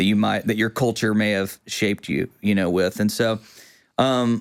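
In a very clean recording with a silent background, a man talks at a fairly slow pace with an East Texas accent. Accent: East Texas Southern US. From East Texas (Quitman). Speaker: worship pastor and videographer. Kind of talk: casual chat. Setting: studio.

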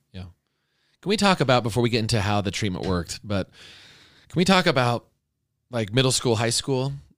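At a fairly quick pace, a man with a medium pitch swings his voice very widely between long, frequent pauses. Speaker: podcast host and speaker. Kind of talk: interview. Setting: studio. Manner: animated.

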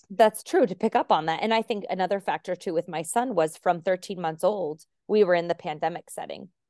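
Against a quiet background, a woman with an American accent speaks at a fairly quick pace in a dark, mellow tone. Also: medium pitch for a woman, ordinary pitch variation. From Arizona, US. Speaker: French teacher and stay-at-home mom, podcaster. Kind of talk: casual interview chat.

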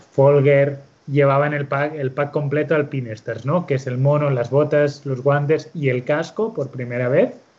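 A man talks at a fairly slow pace in a fairly high, somewhat breathy voice with fairly even intonation. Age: 30s. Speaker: motorcycle racing team coordinator. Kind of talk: casual interview chat. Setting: video call.

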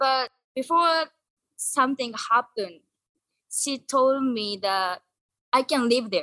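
A woman with a Japanese accent speaks in a raised, projected voice at a high pitch, with a bright, sharp tone and ordinary pitch variation. Her very slow delivery has long, frequent pauses, and the sound is dry and close with no echo. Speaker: guest. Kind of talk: casual chat. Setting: video call.

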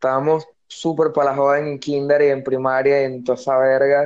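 Speaking at a moderate pace in a fairly high pitch, a man uses monotone, flat intonation with a Venezuelan accent. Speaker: podcast co-host. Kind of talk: casual chat. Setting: online call.

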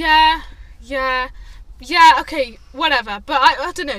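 In a raised, projected voice, a woman speaks at a moderate pace, her high pitch carrying a bright, sharp tone. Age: 20s. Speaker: podcast co-host. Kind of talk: casual chat.

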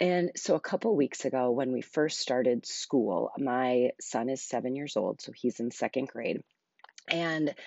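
Soft-spoken, a woman talks at a very deep, low pitch with ordinary pitch variation. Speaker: podcast host. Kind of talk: solo podcast monologue, casual chat. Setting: home living room, early morning. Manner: slow; quiet, soft-spoken.

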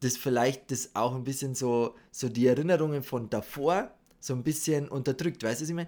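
Dark and mellow in tone, a man talks at a moderate pace with ordinary pitch variation over a very clean recording and silent background. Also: medium pitch for a man. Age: 30s. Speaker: podcast co-host. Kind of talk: casual chat. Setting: studio.

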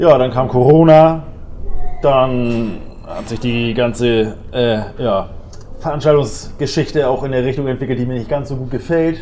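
A man's medium-pitched voice at a fairly slow pace, his intonation fairly even, with audible room echo and noticeable background noise. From northern Germany, Dithmarschen (Schleswig-Holstein). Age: 40s. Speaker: gym owner. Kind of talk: casual interview.

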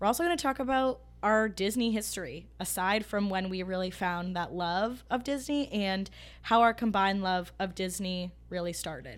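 A woman with an unremarkable speaking voice and medium pitch talks at a moderate pace in a very clean recording with a silent background. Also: ordinary pitch variation. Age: 20s. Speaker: podcast co-host. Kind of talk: casual chat.

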